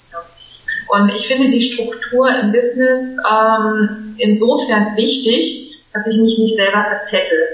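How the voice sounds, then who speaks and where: Speaking very slowly with very even loudness, a woman uses a fairly high pitch and fairly even intonation, amid noticeable background noise and audible room echo. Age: 30s. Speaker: business coach. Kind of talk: casual chat.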